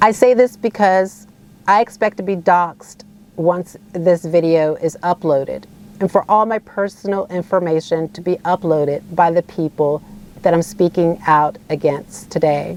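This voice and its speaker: In an American accent, a woman with a fairly low pitch speaks at a moderate pace with ordinary pitch variation, in a dry, close sound with no echo and music in the background. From United States. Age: 40s. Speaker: asylum seeker and activist. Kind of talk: personal testimony to camera.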